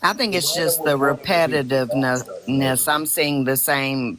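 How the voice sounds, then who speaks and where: A woman in a Southern US accent, very deep and low in pitch, at a fairly slow pace amid noticeable background noise. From US South. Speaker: protester. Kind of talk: casual chat. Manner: calm.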